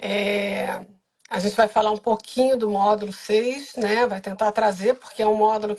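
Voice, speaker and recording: With monotone, flat intonation, a woman speaks at a moderate pace and a fairly high pitch. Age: 60s. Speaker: biographical counselor and course coordinator. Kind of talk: live stream interview.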